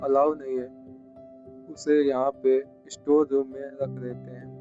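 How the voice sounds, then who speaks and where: Over music in the background, a man at a medium pitch speaks in a monotone, flat way with a dry, close sound and no echo. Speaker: travel vlogger and storyteller. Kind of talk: travel documentary narration to camera.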